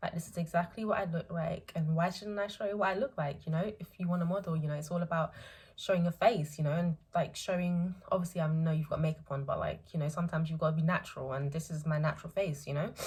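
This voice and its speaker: Rushing at a very fast pace with hardly any pauses, a woman speaks in a somewhat breathy, fairly low voice with fairly even intonation. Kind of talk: casual talk to camera. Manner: hesitant, many filler words.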